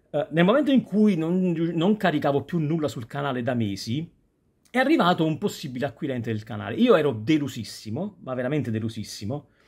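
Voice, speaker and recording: Against a quiet background, a man speaks at a fairly quick pace in a fairly high, somewhat breathy voice. His pitch swings very widely. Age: 40s. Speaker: YouTuber; youtuber. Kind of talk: casual vlog monologue. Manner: halting. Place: home room. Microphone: phone near.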